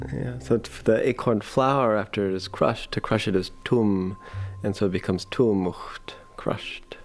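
A man's fairly low voice with lively intonation at a moderate pace, over noticeable background noise. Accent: American. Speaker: Ohlone language and food revivalist. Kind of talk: documentary interview.

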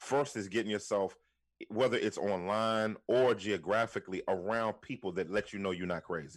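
In a very clean recording with a silent background, a man with an American accent uses an unremarkable speaking voice, fairly low in pitch, with ordinary pitch variation at a moderate pace. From Washington, D.C. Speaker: pastor and author. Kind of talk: podcast interview.

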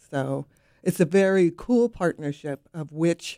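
Recorded very cleanly with a silent background and a dry, close sound with no echo, a woman with an American accent speaks at a fairly low pitch in a dark, mellow tone. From US West Coast. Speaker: city public art director. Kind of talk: radio interview.

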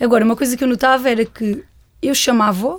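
At a very fast pace, a woman talks with a high pitch. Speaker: nurse and parent of deaf child. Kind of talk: interview conversation. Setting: studio.

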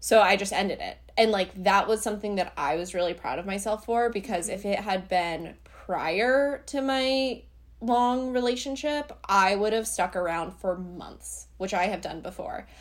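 Ordinary pitch variation and a moderate pace come through in a plain, everyday voice. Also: woman, medium pitch for a woman. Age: 20s. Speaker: beauty influencer. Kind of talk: casual chat.

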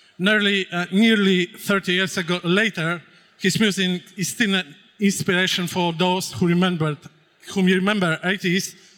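A man with a Polish accent speaks at a fairly slow pace in a high pitch with fairly even intonation. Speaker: panel moderator. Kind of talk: stage interview. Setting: stage with audience.

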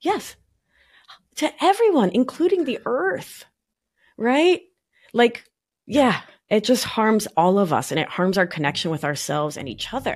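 A woman with an American accent speaks fairly slowly in a fairly high pitch, her voice making very wide pitch swings between long, frequent pauses. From Argentina (Buenos Aires), raised partly in New York. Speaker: somatic life coach and nurse practitioner. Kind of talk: podcast interview.

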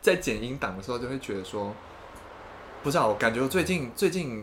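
A man's voice sits at a medium pitch. He speaks very fast. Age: 20s. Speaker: podcast co-host. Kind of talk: casual chat. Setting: home recording in his room.

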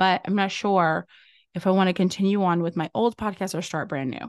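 The speech moves at a fairly quick pace. The sound is dry and close with no echo, over a quiet background. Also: woman. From US South, Louisiana. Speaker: podcast agency owner and host. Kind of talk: solo podcast monologue, motivational. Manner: animated.

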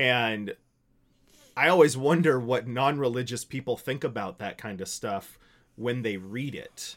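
With an American accent and a plain, everyday voice, a man talks at a fairly slow pace and a medium pitch, with ordinary pitch variation and big swings in loudness, on a very clean recording with a silent background. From US, small town. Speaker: pastor. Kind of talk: casual chat.

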